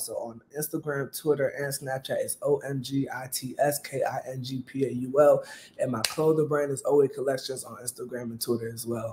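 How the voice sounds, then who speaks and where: Male speaker at a moderate pace with hardly any pauses and big swings in loudness, over noticeable background noise. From Maryland, US. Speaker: comedian and clothing brand owner; comedian. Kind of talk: casual interview. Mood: relaxed, cheerful. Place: kitchen.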